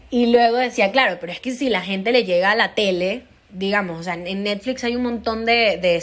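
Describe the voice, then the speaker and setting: With a Venezuelan accent, a woman speaks at a moderate pace and with ordinary pitch variation on a very clean recording with a silent background. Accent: Venezuelan, kept; often taken for Colombian. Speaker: stand-up comedian. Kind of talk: interview testimony.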